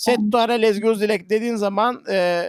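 High-pitched male speech, moderately paced and fairly flat in intonation. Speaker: music professor. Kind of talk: online lecture. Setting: video call. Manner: halting, many fillers.

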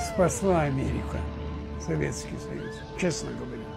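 Delivery is fairly slow. Clear music sounds behind the voice. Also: man. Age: 80s+. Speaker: war veteran. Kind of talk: interview answer. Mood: indignant, emphatic.

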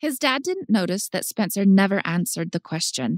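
A woman's medium-pitched, plain, everyday voice at a fairly quick pace, with a dry, close sound and no echo. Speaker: drama teacher. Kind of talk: audiobook narration. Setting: studio.

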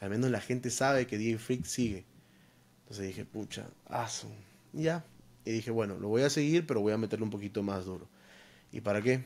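Ordinary pitch variation marks this man's fairly low voice. He keeps a fairly quick pace. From Peru. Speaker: DJ and content creator; podcast guest. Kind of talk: casual interview. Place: home room. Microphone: studio mic.

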